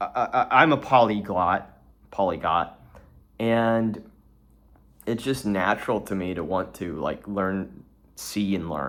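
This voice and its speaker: Pausing long and often, a man with fairly low pitch speaks at a fairly slow pace. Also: ordinary pitch variation. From Houston, Texas. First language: Portuguese. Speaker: vlogger, trader and founder. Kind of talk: casual solo vlog monologue. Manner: halting, many repeated words and fillers.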